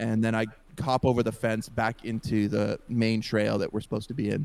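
A man's medium-pitched voice with a dark, mellow tone. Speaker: podcast co-host. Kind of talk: casual storytelling chat. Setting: podcast recording. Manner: loud.

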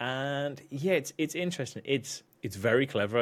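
A man with a British accent, lively intonation and a fairly quick pace on a very clean recording with a silent background. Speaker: podcast co-host and video editor. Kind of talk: casual chat. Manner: joking, laid-back.

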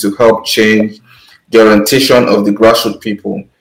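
A man with a Nigerian accent speaks at a medium pitch. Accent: Nigerian (Yoruba) English. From Nigeria, Lagos and Ondo town. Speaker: podcast co-host. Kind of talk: panel discussion.

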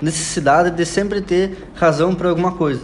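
This is a man with a high pitch. Noticeable background noise can be heard. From Paraná, southern Brazil (União da Vitória). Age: 20s. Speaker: co-host, hypnosis student. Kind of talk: casual educational chat.

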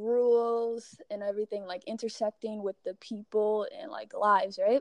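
A woman has a plain, everyday voice at a fairly high pitch with fairly even intonation. The sound is dry and close, with no echo. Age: 20s. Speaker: podcast guest, university teaching assistant. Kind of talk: casual chat.

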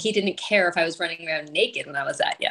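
This is an unremarkable speaking voice. It has ordinary pitch variation. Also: woman. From rural Ontario, Canada. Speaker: author and editor. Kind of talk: casual interview.

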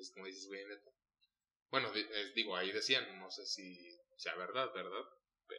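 With big swings in loudness and long, frequent pauses, a man speaks at a moderate pace. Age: 30s. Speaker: podcast host. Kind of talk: casual chat.

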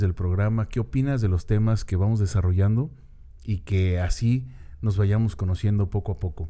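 Moderately paced, the speech has a dark, mellow tone and ordinary pitch variation. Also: man. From Mexico City. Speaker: podcast host. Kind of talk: solo monologue. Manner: casual, hesitant with repetitions.

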